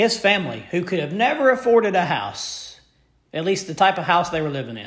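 Audible room echo surrounds a man speaking in an American accent at a fairly quick pace. His tone is animated, with lively intonation. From Memphis, Tennessee (US South). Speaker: sports podcast host. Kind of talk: solo sports commentary podcast.

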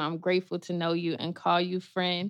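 The speaker is a woman whose voice sits at a medium pitch. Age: 30s. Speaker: podcast host. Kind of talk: casual interview chat. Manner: animated.

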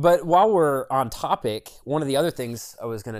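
An ordinary speaking voice from a man, medium in pitch, lively in intonation and fairly quick, on a very clean recording with a silent background. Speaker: podcast co-host. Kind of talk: casual banter between friends. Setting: home, cold room, recording with a friend. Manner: casual, profane, joking.

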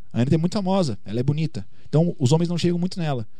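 A man's dark, mellow, somewhat breathy voice races along at a very fast pace with lively intonation. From Bagé, interior of Rio Grande do Sul, Brazil. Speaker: singer and YouTuber. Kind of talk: interview.

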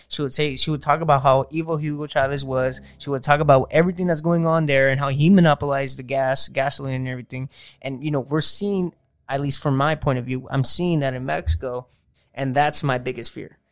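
In a very clean recording with a silent background, a man with a fairly high pitch has a normal speaking voice, talking at a fairly quick pace with fairly even intonation. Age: 20s. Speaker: podcast host.

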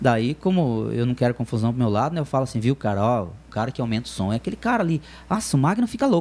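Lively intonation marks speech delivered at a very fast pace. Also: man, medium pitch for a man. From Telêmaco Borba, Paraná, Brazil. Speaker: DJ. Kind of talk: casual chat. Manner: halting.

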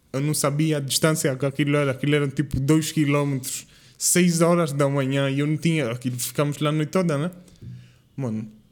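A man with a fairly high pitch and a normal speaking voice talks at a fairly quick pace with fairly even intonation. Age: 20s. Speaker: podcast guest, university student. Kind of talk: casual chat.

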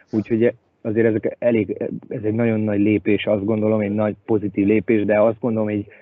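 The voice belongs to a man and sits fairly low. His intonation stays monotone and flat. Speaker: ice hockey head coach. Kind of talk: casual interview chat.

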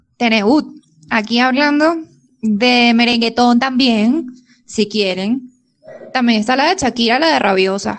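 A woman with a high pitch talks at a fairly slow pace, with long, frequent pauses, very even loudness and ordinary pitch variation. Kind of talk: casual chat.

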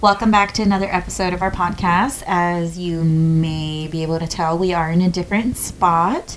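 Moderate-paced speech with hardly any pauses, set against noticeable background noise. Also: woman, fairly low pitch for a woman, fairly even intonation. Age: 20s. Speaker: podcast co-host. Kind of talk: casual chat.

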